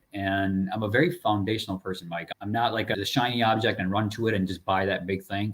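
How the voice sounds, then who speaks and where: A man speaks at a fairly quick pace with a fairly low pitch. His intonation stays fairly even, and he hardly pauses at all. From immigrant from a developing country, raised in US (Chicago area). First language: not English. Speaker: multifamily real estate investor. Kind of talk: podcast interview. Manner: casual, conversational.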